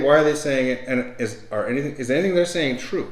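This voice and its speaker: Pitched fairly high, a man speaks with ordinary pitch variation and audible room echo around him. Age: 60s. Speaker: podcast host and author. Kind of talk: casual interview chat. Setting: home recording, on camera. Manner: repetitive, stammering restarts.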